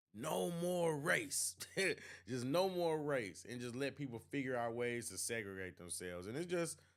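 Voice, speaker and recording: With very wide pitch swings, a man with an American accent speaks at a moderate pace. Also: medium pitch for a man. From St. Louis, Missouri (US Midwest). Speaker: YouTube reaction streamer. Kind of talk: live stream commentary reading chat. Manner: halting, many fillers.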